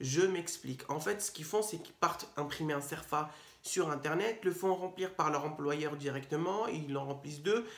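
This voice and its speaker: This man has a fairly high pitch. His pitch variation is ordinary. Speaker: legal advice youtuber. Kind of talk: explainer video. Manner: fast; hesitant, many fillers.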